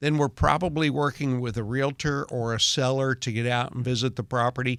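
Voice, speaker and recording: In a plain, everyday voice, a man with a medium pitch speaks at a moderate pace with fairly even intonation in a very clean recording with a silent background. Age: 60s. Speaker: real estate appraiser. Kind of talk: radio interview.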